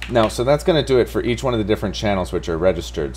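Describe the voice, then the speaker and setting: There is noticeable background noise. Over it, a man speaks with very wide pitch swings. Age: 30s. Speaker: programming live streamer. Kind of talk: live coding stream. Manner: casual, thinking aloud.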